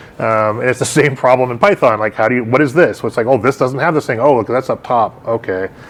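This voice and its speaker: This man talks at a very fast pace with medium pitch. His pitch varies in an ordinary way, and there's noticeable background noise. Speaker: meetup organizer and tech presenter. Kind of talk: technical talk with Q&A. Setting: live meetup in a gallery with audience.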